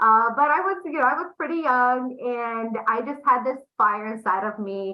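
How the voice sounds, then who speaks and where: With a Romanian accent, a woman speaks at a fairly slow pace. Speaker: entrepreneur, agency founder. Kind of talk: interview. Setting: podcast interview.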